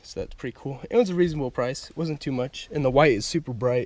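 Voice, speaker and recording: The voice has vocal fry. The sound is dry, with no echo. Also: man. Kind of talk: casual vlog chat. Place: car. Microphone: phone near.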